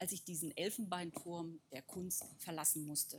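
This is a woman with a plain, everyday voice and a fairly low pitch. She talks at a moderate pace. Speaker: artist.

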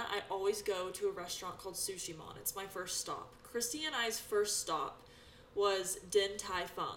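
With an American accent, a woman speaks at a moderate pace and medium pitch with ordinary pitch variation, over noticeable background noise. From US West, Sacramento area. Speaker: esthetician and instructor, podcast co-host. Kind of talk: casual chat. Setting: studio.

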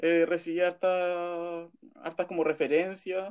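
A man talks with a Chilean accent. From Chile, Pomaire. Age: 20s. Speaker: journalism student. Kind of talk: casual chat.

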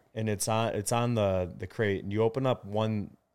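In a very clean recording with a silent background, a man with fairly low pitch speaks at a moderate pace with fairly even intonation. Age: 20s. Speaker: sauna company founder. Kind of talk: casual interview.

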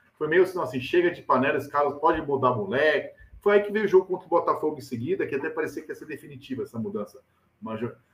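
A man's fairly high, animated voice at a very fast pace, with lively intonation and big swings in loudness. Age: 40s. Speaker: football journalist and pundit. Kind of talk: casual chat. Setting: video call.

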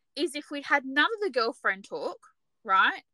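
A woman's high, raised and projected voice at a moderate pace, with very wide swings in pitch. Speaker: podcast co-host. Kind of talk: casual discussion. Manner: animated, chatty.

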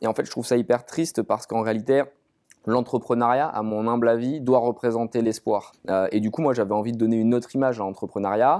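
A man with a dark, mellow tone talks at a very fast pace with fairly even intonation in a very clean recording with a silent background. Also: medium pitch for a man. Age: 30s. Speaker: startup founder. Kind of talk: interview.

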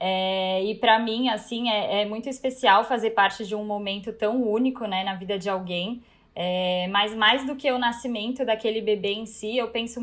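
A woman with an unremarkable speaking voice, fairly high pitch, fairly even intonation and hardly any pauses. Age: 20s. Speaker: birth photographer. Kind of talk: casual chat.

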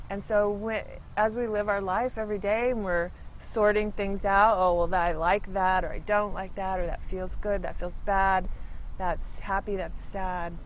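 A woman speaks at a medium pitch and a moderate pace, her intonation monotone and flat. Audible room echo surrounds her voice. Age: 50s. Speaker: church reading room attendant. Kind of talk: interview.

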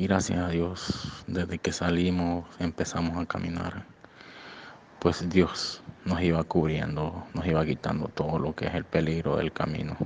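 Very deep and low in pitch, a man speaks at a fairly slow pace in a monotone, flat intonation. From Honduras. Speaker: migrant. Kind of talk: testimony. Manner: halting.

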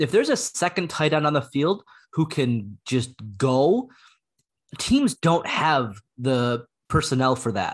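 A man's ordinary speaking voice, fairly high in pitch, with lively intonation at a fairly slow pace over a quiet background. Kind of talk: casual chat.

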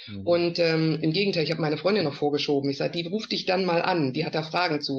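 A woman talks at a very fast pace in a very deep, low pitch. Her pitch varies in an ordinary way. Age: 50s. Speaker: network marketer. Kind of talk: casual interview.

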